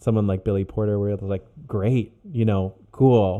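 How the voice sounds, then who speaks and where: A man talks in a normal speaking voice at a fairly low pitch. His intonation is fairly even. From moved around: Ohio, Virginia, Oklahoma, Germany. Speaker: cellist. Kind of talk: casual chat.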